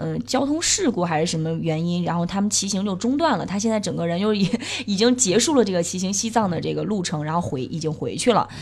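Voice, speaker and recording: Over noticeable background noise, a woman with a medium-pitched voice speaks at a fairly quick pace. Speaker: cycling podcast host. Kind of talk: casual chat.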